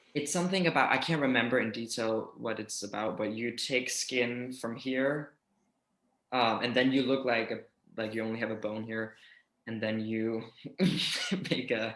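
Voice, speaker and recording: The speaker has a Danish accent and fairly even intonation. The pace is moderate, with long, frequent pauses. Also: man, medium pitch for a man. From Denmark. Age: 20s. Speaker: YouTuber. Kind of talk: casual interview.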